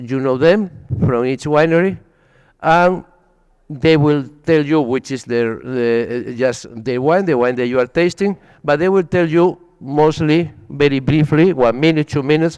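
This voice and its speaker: This man speaks with a Spanish accent at a fairly slow pace. His pitch is fairly high, with ordinary variation. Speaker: wine expert presenter. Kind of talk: presentation at wine tasting event.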